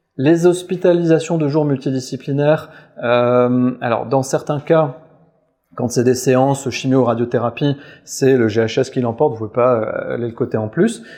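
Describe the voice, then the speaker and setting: A man's dark, mellow voice at medium pitch, with ordinary rise and fall. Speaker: physician giving a clinical talk. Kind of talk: webinar lecture. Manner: fast; hesitant, frequent euh fillers.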